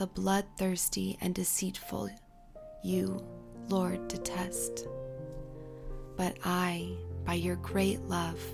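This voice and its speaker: Over music in the background, a woman speaks at a very slow pace in a calm, soothing tone, with long, frequent pauses. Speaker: Bible reader. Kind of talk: calm scripture reading over music.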